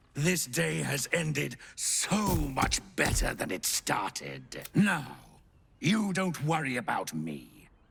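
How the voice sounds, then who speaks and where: This man puts on a character voice pitched fairly high. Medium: video game. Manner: wheedling, sly.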